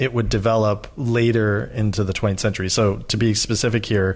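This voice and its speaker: Here is a man with an American accent. His pitch is fairly low. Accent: Midwestern with slight Southern edges. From Louisiana, from age nine (born Chicago south suburbs). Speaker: musician, songwriter and academic. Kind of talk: casual interview.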